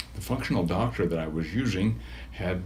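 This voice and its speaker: In a room with audible echo, a man talks at a fairly quick pace, his pitch swinging very widely. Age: 70s. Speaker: patient. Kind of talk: testimonial interview. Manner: halting.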